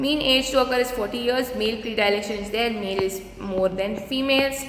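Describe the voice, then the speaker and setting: At a moderate pace and with ordinary pitch variation, the voice comes through audible room echo and noticeable background noise. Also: woman. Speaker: dentistry lecturer. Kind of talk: lecture.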